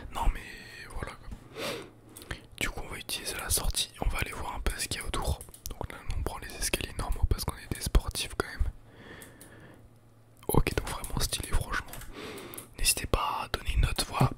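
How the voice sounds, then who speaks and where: A man whispers at a moderate pace, with long, frequent pauses and big swings in loudness. Noticeable background noise sits behind him. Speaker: ASMR YouTuber and gamer. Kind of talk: casual gameplay commentary to camera.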